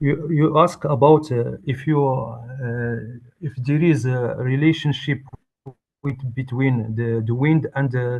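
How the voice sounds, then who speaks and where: The speaker is a man with a non-native accent. He talks very slowly. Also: medium pitch for a man, fairly even intonation. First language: not English. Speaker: researcher presenting a talk. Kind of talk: conference talk and Q&A. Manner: halting.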